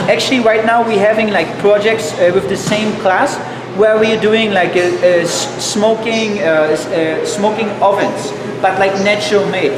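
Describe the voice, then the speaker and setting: The speech comes at a moderate pace over noticeable background noise. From Germany. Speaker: cooking instructor. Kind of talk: live online cooking class. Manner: halting, many fillers and restarts.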